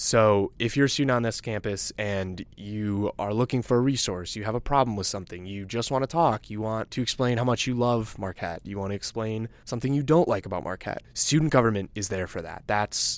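A man with a plain, everyday voice and an American accent speaks at a fairly quick pace with hardly any pauses, fairly low pitch and ordinary pitch variation. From Chicago suburbs, Illinois. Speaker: student government leader. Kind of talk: casual chat.

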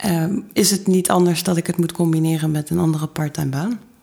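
A woman speaks at a fairly quick pace, her fairly low voice held to fairly even intonation. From Netherlands, Maastricht (Limburg). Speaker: fashion designer. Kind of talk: interview.

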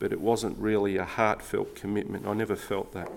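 A man with an Australian accent, fairly low in pitch, at a moderate pace. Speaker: baptism candidate. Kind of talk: testimony.

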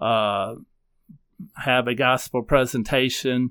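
A man's medium-pitched, flat monotone with a Southern US accent, on a very clean recording with a silent background. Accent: Southern American. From US South, upstate South Carolina. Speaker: newspaper editor. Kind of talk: interview.

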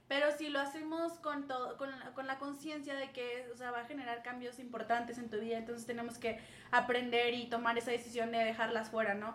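Heard with audible room echo, a woman speaks quickly enough at a fairly quick pace, her high voice fairly even in intonation. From northern Mexico, Saltillo. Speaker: schoolteacher. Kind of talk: casual chat.

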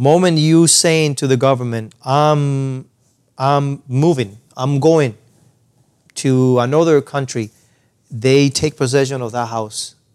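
Speaking at a very slow pace with a Spanish accent, a man has a fairly high pitch. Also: fairly even intonation. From Cuba. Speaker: percussionist and music educator. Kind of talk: interview conversation. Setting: studio lounge.

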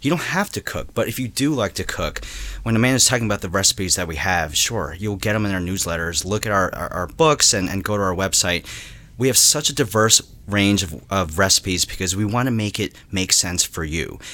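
A man with an American accent, a normal speaking voice, fairly low pitch, ordinary pitch variation and a fairly quick pace. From New Jersey. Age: 30s. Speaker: head of marketing. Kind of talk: casual interview. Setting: office.

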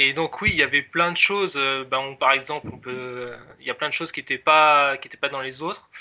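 A normal speaking voice from a man, fairly high in pitch and fairly slow in pace. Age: 20s. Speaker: software developer, app creator. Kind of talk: casual interview.

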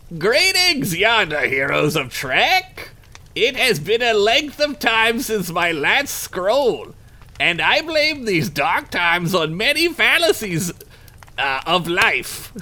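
In a put-on character voice, the speaker talks at a fairly slow pace with a fairly high pitch and very wide pitch swings. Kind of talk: archaic, flowery. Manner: theatrical, mock-solemn.

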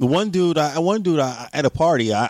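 This man's fairly high-pitched voice carries an animated tone and lively intonation. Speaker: guest. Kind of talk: casual banter, heated argument. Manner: animated, rapid-fire, emphatic.

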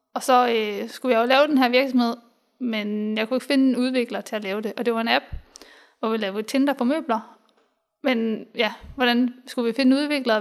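Her pitch is high and her intonation fairly even. This woman speaks at a fairly quick pace. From Denmark, Hobro (Jutland). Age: 20s. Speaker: software developer and engineer. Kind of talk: interview. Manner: hesitant, many fillers.

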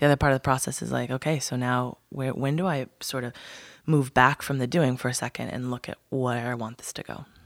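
A woman's very deep, low-pitched voice, dry and close with no echo, on a very clean recording with a silent background. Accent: American. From US Pacific Northwest, Whidbey Island. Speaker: branding consultant and educator. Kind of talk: interview conversation. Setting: studio.

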